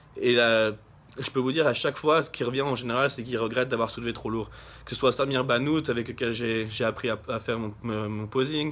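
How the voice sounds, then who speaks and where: A man with a medium pitch delivers his words at a fairly quick pace, his intonation fairly even. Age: 20s. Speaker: bodybuilder. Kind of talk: vlog. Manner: halting.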